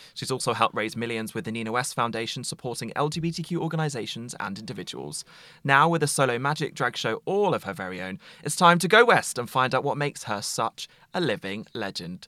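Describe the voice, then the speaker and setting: In a very clean recording with a silent background, a man with an English accent talks at a very fast pace, his medium-pitched voice bright and sharp in tone, with lively intonation. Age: 20s. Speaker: podcast host. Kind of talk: casual chat; scripted narration.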